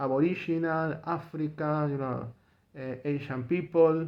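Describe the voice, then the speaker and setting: A man with a Spanish accent talks at a very slow pace in a fairly high pitch. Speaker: political commentator vlogger. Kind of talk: opinion monologue. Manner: halting; repetitive, emphatic.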